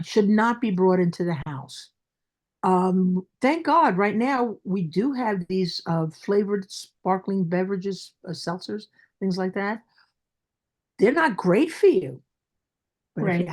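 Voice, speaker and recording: A woman's medium-pitched voice with a Brooklyn accent, lively intonation, a fairly slow pace and long, frequent pauses, in a very clean recording with a silent background. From Brooklyn, New York.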